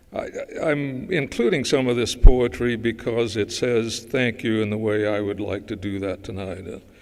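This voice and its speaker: A man with an American accent speaks at medium pitch with ordinary pitch variation and big swings in loudness. Noticeable background noise is present. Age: 80s+. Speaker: dermatologist. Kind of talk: award acceptance speech. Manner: halting.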